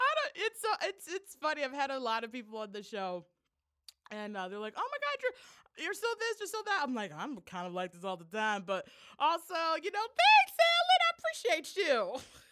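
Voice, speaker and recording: A woman's high-pitched, raised and projected voice, animated in tone, with very wide pitch swings and big swings in loudness. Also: moderate pace. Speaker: podcast host. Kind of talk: casual chat.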